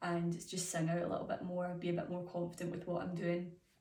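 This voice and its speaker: Speaking very fast, a woman with a fairly low voice comes through noticeable background noise and audible room echo. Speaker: music student teacher. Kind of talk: reflective self-assessment. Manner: hesitant with fillers.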